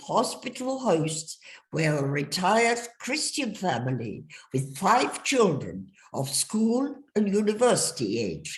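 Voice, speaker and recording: Speaking very slowly, a woman uses vocal fry and very wide pitch swings. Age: 80s+. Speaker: refugee telling life story. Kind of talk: testimony.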